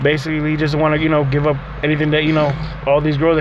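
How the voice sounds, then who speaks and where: A man's fairly high voice comes through against noticeable background noise. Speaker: co-host. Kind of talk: casual chat. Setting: in a car. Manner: joking, laid-back.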